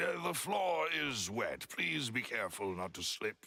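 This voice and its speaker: In a put-on character voice, a man speaks at a moderate pace with fairly high pitch. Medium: video game. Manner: polite, measured.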